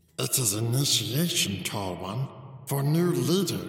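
Using a put-on character voice at a medium pitch, a man speaks with a clear echo around him. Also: moderate pace. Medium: read story. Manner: broken, clipped sentences, refers to himself by name.

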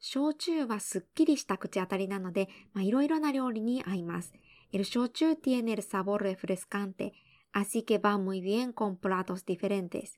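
A woman with a normal speaking voice talks at a moderate pace with lively intonation, recorded very cleanly against a silent background in a dry, close sound with no echo. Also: medium pitch for a woman. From Japan. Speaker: podcast host and Spanish interpreter. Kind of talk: bilingual language-learning podcast. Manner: clear, measured delivery.

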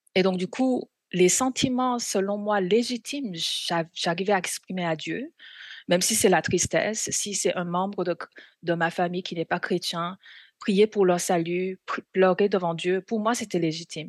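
Speaking with a Korean accent at a fairly slow pace, a woman uses a medium pitch with ordinary pitch variation and long, frequent pauses, the sound dry and close with no echo against a quiet background. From South Korea. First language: Korean (speaking French). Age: 40s. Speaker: missionary. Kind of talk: testimony.

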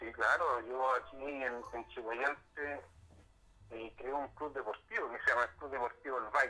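A man talks at a very slow pace with hardly any pauses and fairly even intonation. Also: medium pitch for a man. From Chile, Concepción area. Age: 40s. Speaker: social worker and local politician. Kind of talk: interview. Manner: halting, with frequent repetitions.

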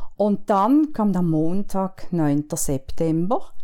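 This voice has a dark, mellow tone and very wide pitch swings. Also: woman. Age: 60s. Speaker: pastor's widow and church event host. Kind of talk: personal testimony in interview.

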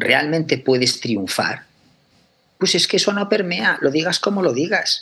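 The pace is fairly slow as a man talks. His pitch swings very widely. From Aragón, Spain. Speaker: chemistry professor. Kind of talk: interview.

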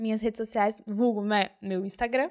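Pitch varies in an ordinary way, captured on a very clean recording against a silent background. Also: woman. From São Paulo, Brazil (East Zone). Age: 20s. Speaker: au pair and volunteer worker. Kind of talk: casual interview chat. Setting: studio, face to face.

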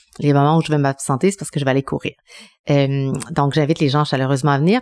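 Very deep and low in pitch, a woman's voice comes through dry and close with no echo. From Quebec City, Quebec (Chilean family). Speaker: TV journalist and cooking show host. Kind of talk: casual interview.

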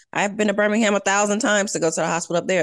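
A woman with an American accent at a very fast pace, fairly even intonation, quiet background. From Nebraska, US Midwest. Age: 30s. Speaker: personal chef and small business owner. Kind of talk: interview conversation.

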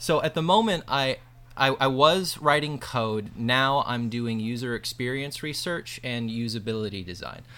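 In a Midwestern American accent, a man speaks at a moderate pace and medium pitch with a bright, sharp tone. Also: ordinary pitch variation, very clean recording, silent background. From US Midwest, northwest Ohio. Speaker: app developer and user experience researcher. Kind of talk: casual interview conversation. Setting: in person at a lake house.

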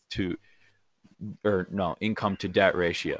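Recorded with a dry, close sound and no echo, a man speaks in a plain, everyday voice with a fairly low pitch and fairly even intonation. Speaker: podcast host. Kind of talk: casual chat. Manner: laid-back, filler words.

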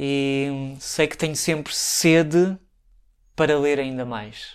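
A man with a European Portuguese accent, fairly high in pitch, fairly even in intonation, on a very clean recording with a silent background. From Portugal, Santarém. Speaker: language teacher and storyteller. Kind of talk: interview. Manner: halting, many fillers.

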